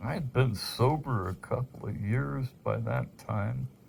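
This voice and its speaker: A man's somewhat breathy voice with a dark, mellow tone moves at a very slow pace. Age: 60s. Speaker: amateur rock collector. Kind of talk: casual monologue. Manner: halting.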